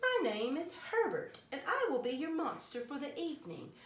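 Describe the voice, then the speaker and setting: In a put-on character voice, a woman speaks at an extremely high pitch with very wide pitch swings. There is a slight echo. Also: moderate pace. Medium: read story. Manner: polite, mild.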